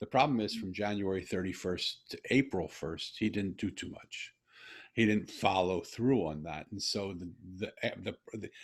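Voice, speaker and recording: A man with an American accent and an ordinary speaking voice talks at a moderate pace and a fairly low pitch, with ordinary pitch variation and big swings in loudness, in a very clean recording with a silent background. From US. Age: 60s. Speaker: podcast host. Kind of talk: casual conversation.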